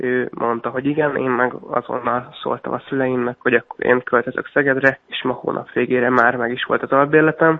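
A man at medium pitch, fairly quick and flat in a monotone, with hardly any pauses. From Hungary, Miskolc. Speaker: sprint canoeist. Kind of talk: radio interview.

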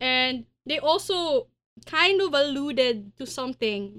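This woman projects a raised voice. It sits high in pitch. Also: dry, close sound with no echo. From Philippines, Pasig. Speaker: news podcast host. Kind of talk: casual news discussion.

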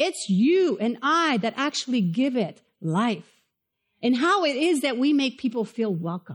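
A woman's high-pitched voice with a Spanish accent, very wide pitch swings and a fairly slow pace over a quiet background. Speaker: pastor. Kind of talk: sermon. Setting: church with live audience.

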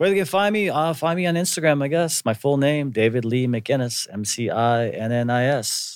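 A man with an unremarkable speaking voice talks at a moderate pace and fairly high pitch, with lively intonation and hardly any pauses. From US Midwest (Wisconsin), partly Hawaii. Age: 40s. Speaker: actor. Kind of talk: casual chat.

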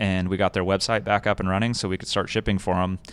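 A man with an American accent speaks in a monotone, flat intonation, recorded very cleanly over a silent background. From Southern California (Escondido). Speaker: off-road gear business owner. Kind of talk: casual interview. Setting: in his shop.

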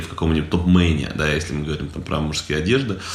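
This man talks very fast. There is noticeable background noise in the recording. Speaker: podcast co-host. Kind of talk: casual chat. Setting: recorded in an apartment. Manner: hesitant, many filler sounds.

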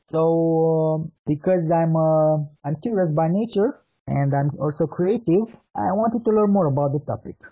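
Speaking in a Romanian accent, a man has a fairly high pitch and ordinary pitch variation. His pace is moderate and his loudness very even. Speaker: marketing consultant. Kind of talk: interview.

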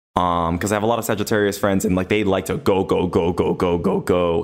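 With an American accent, the speaker talks at a fairly quick pace in an ordinary speaking voice. The background is silent and the recording very clean. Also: man. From Los Angeles. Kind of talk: casual chat.

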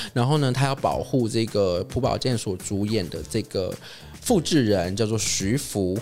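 Music plays in the background as a man speaks at a fairly slow pace. His medium-pitched voice has lively intonation. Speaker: entertainment podcast host. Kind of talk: casual solo chat about movies. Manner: hesitant, many filler sounds.

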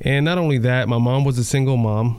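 Here is a man with a normal speaking voice. His intonation stays fairly even. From New York. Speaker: sheriff's deputy. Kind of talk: testimony. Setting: home living room.

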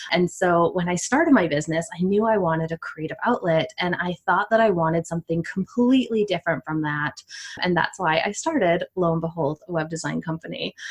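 With a Canadian accent, a woman talks fast with hardly any pauses, in an unremarkable speaking voice. Her fairly low pitch varies in an ordinary way, and the sound is dry and close with no echo. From Canada. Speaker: content strategist. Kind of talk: interview.

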